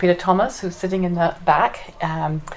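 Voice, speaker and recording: A woman with an English accent and fairly even intonation, amid noticeable background noise. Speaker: veterinarian and federal commissioner. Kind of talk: public lecture. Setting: community presentation with live audience. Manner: halting, many fillers.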